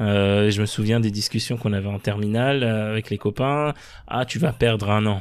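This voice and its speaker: On a very clean recording with a silent background, a man talks in an ordinary speaking voice at a fairly low pitch and a moderate pace, with fairly even intonation. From France, Paris suburbs (Sarcelles). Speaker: former member of parliament. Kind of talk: interview.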